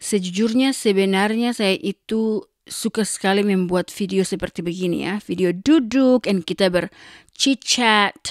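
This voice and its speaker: An animated tone at a fairly slow pace, with hardly any pauses, ordinary pitch variation, and a dry, close sound with no echo. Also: woman, medium pitch for a woman. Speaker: vlogger. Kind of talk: casual chat. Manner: code-switching Indonesian and English.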